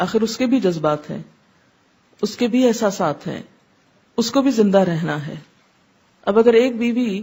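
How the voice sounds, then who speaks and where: The woman has a dark, mellow tone and a fairly high pitch. Her intonation is lively and her voice somewhat breathy. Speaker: Islamic scholar. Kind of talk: religious lecture.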